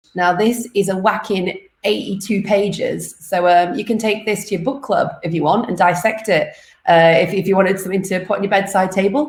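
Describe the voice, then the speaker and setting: A somewhat breathy woman talks in a British accent with ordinary pitch variation. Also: medium pitch for a woman, fairly quick pace. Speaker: livestream host, content manager. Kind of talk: live stream intro. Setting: live stream from home. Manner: casual.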